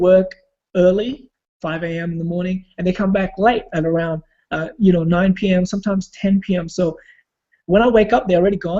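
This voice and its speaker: The voice has a dark, mellow tone and fairly even intonation, moving at a fairly quick pace. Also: man. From Australia (immigrant family). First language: not English. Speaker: online marketer and former break dancer. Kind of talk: personal story in a group video call. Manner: hesitant, many fillers.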